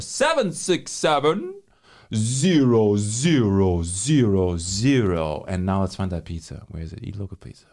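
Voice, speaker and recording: A man's voice has a dark, mellow tone and very wide pitch swings. The recording is very clean, with a silent background. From Germany. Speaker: podcast host. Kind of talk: casual chat. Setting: studio. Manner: excitable.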